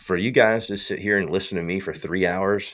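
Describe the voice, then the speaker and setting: A man with a strong Southern US accent talks fairly slowly in a fairly low pitch. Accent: strong Southern US accent, super country. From US South. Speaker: tech company founder and live streamer. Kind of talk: casual livestream talk. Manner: animated, slangy.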